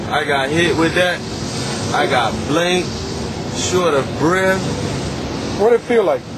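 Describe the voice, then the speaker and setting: A man at a fairly slow pace under loud background noise. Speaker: interviewee. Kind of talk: interview answer. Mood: earnest warning, slightly dazed. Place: car. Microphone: phone near.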